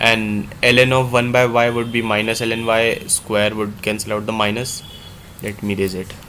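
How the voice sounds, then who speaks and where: In an Indian accent, the speaker keeps a moderate pace and a monotone, flat intonation, with audible room echo and noticeable background noise. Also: man, medium pitch for a man. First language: Hindi. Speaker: math tutor. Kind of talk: live problem-solving tutorial.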